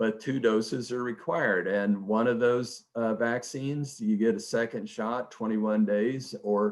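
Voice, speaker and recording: In an American accent, a man with a normal speaking voice talks at a medium pitch and a fairly slow pace. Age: 60s. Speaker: economist. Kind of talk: webinar presentation. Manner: conversational.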